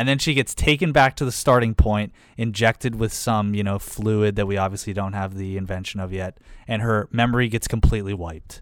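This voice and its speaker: On a very clean recording with a silent background, a man with an American accent speaks at a fairly low pitch in an ordinary speaking voice. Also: ordinary pitch variation, fairly quick pace. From Pittsburgh, US. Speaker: podcast co-host. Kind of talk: casual chat.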